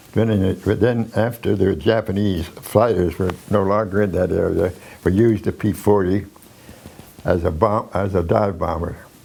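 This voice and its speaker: Delivered at a moderate pace with fairly even intonation, the speech sits over noticeable background noise. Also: man, fairly low pitch for a man. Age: 80s+. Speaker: war veteran. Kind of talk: interview answer.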